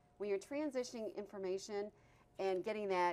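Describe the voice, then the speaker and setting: A woman with a fairly high pitch speaks at a fairly quick pace with lively intonation. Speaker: TV talk show host. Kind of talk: casual interview chat. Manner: fast.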